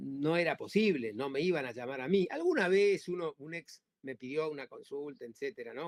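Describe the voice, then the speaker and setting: A man speaks with an Argentine accent at a fairly high pitch. The sound is dry and close, with no echo. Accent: Argentine Spanish (Rioplatense). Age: 60s. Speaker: labor lawyer. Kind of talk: interview. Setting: podcast. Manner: halting, many repetitions and fillers.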